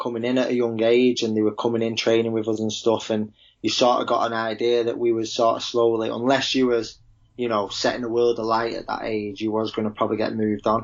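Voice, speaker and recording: A strong Manchester accent at a fairly quick pace. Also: man. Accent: broad Manchester. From Manchester, England. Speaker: professional footballer. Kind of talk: podcast interview.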